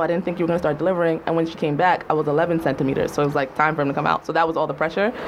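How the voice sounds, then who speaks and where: Noticeable background noise accompanies a woman speaking at a fairly low pitch with an American accent. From US, Jamaican household. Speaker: writer. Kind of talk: casual chat. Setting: studio.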